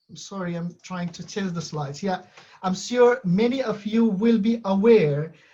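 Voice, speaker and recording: Speaking at a moderate pace, a man has a high pitch, a dark, mellow tone and ordinary pitch variation. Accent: non-native. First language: not English. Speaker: university lecturer. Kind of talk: conference presentation. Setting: web conference. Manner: halting, many fillers.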